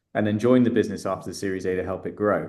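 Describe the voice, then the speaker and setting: A man with a British accent speaks in a monotone, flat intonation. His pitch sits fairly low. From England, London. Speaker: startup founder and investor. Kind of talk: interview. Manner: hesitant, many fillers.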